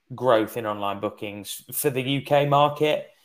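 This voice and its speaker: In an English accent, a man talks at a moderate pace and a medium pitch. His pitch variation is ordinary. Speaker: webinar host, sales manager. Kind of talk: webinar moderation.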